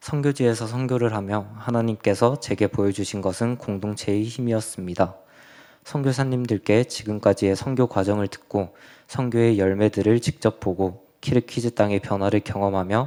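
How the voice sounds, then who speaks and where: A man speaks in a fairly low pitch with a dark, mellow tone and fairly even intonation. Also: moderate pace. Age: 20s. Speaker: church youth member giving mission report. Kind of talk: testimony. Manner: reading from prepared text.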